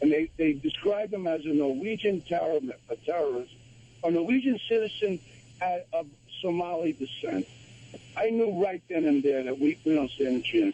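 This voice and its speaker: High-pitched and lively in intonation, a man speaks. He has an American accent. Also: moderate pace. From New York / New Jersey area. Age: 70s. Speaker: radio caller. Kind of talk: call-in opinion. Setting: phone call. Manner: animated, emphatic.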